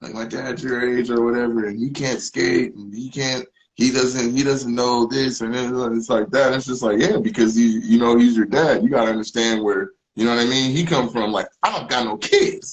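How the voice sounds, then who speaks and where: A plain, everyday voice at a moderate pace. The intonation stays fairly even. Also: man, medium pitch for a man. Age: 40s. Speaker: musician. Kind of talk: casual chat.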